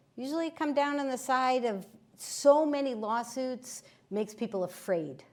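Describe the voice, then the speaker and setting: A woman talks with very wide swings in pitch. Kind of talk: presentation with slides.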